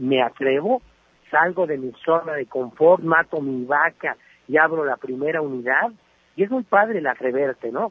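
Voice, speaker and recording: This man has an ordinary speaking voice with a fairly high pitch. He keeps a moderate pace. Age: 40s. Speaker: entrepreneur and business columnist. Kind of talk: radio interview.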